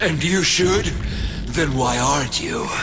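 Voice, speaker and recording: A man does a cartoonish character voice at a fairly high pitch and a fairly slow pace over loud background noise. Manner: taunting, creepy, unsettlingly calm.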